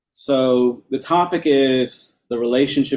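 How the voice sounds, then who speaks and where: With fairly even intonation, this is a normal speaking voice. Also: man. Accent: American. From New York. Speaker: lecturer on temple worship. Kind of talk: lecture.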